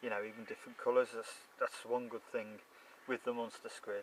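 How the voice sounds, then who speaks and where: A man with a Shropshire accent at a moderate pace. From Shropshire, England. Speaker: carp angler. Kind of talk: casual fishing video diary to camera. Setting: outdoors.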